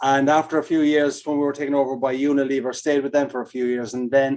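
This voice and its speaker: A man with an Irish accent talks in a monotone with flat intonation. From Ireland. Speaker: keynote speaker and consultant. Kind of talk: podcast interview.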